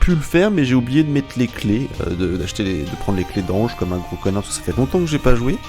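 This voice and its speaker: Over music in the background, a man with a medium pitch talks at a very fast pace, his pitch swinging very widely. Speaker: gaming YouTuber and streamer. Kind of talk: casual late-night gaming monologue. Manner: rambling, hesitant.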